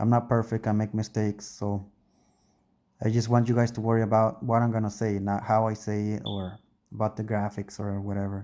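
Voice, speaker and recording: Someone with a non-native accent talks at a fairly quick pace in a dark, mellow tone with monotone, flat intonation, captured in a very clean recording with a silent background. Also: man, fairly low pitch for a man. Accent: foreign accent, English second language. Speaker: YouTuber. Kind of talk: casual monologue. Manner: hesitant, self-correcting.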